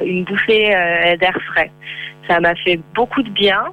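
At a very slow pace, a woman talks with ordinary pitch variation against noticeable background noise. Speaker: freelance travel blogger. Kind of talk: phone interview. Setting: phone call. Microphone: far from the phone.

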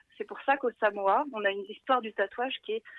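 This woman speaks at a fairly high pitch, keeping a moderate pace and lively intonation. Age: 30s. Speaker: travel blogger and web writer. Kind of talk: casual radio interview.

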